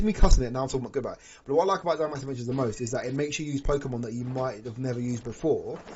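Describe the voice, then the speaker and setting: Over noticeable background noise, a man talks at a very fast pace in an animated tone, with a medium pitch and ordinary pitch variation. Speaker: gaming streamer. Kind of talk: live stream chat.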